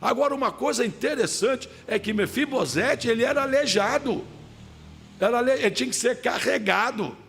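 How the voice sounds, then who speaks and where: Keeping his loudness very even, a man talks at a moderate pace in an extremely high pitch with ordinary pitch variation. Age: 60s. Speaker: pastor. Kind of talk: sermon. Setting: church service.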